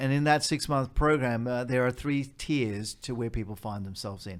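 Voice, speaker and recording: The speaker has an Australian accent. Their intonation is lively. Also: man. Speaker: charity executive. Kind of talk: interview.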